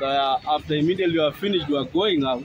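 Over faint music in the background, a man speaks at a fairly high pitch with fairly even intonation, the sound dry with no echo. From Kenya. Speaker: vlogger's companion. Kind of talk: casual account to camera. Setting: outdoors. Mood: indignant storytelling. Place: street. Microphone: phone near.

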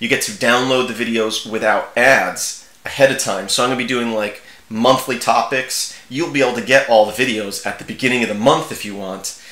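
In audible room echo, a man with a medium pitch and a bright, sharp tone speaks at a fairly quick pace with ordinary pitch variation.

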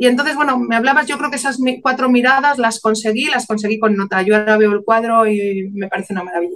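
The speech comes at a very fast pace with hardly any pauses and ordinary pitch variation. The background is quiet. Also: woman, fairly high pitch for a woman. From León, Spain; Spain. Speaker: painter and author; interviewee. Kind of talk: interview. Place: home room. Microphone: video call.

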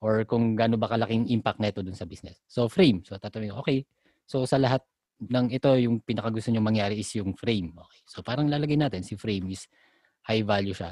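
A normal speaking voice at a fairly quick pace, with big swings in loudness, ordinary pitch variation, and a dry, close sound with no echo. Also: man. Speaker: podcast co-host discussing IT project management. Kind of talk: casual chat.

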